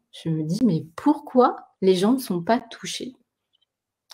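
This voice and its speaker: A woman's somewhat breathy voice at medium pitch, with lively intonation. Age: 40s. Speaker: live stream co-host. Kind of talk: casual chat. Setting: live video stream.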